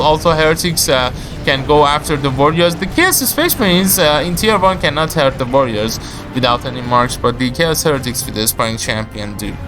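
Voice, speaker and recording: Moderate pace and lively intonation from a man with a fairly high voice, set against audible room echo and noticeable background noise. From Iran. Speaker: video game caster. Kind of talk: live game commentary. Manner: slight stutter, hesitant with fillers.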